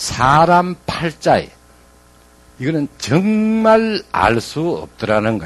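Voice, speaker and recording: A man speaks with a Gyeongsang accent at a fairly high pitch. His pitch swings very widely. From Gyeongsang, Korea (Gyeongsan). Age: 60s. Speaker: former business executive turned motivational speaker. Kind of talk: motivational talk.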